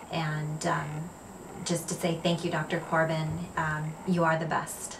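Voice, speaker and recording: Background noise is noticeable behind a woman with a fairly low pitch. She talks at a fairly slow pace in a monotone, flat intonation. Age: 40s. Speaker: cosmetic surgery patient. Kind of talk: patient testimonial. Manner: casual, hesitant with fillers.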